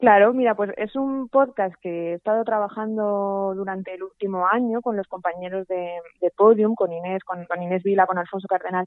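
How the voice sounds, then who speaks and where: At a fairly quick pace, a woman with a medium pitch keeps her intonation fairly even. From Spain, Zaragoza (Aragon). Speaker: journalist and podcast director. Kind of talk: casual interview chat. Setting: remote call from home. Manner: hesitant, many repetitions.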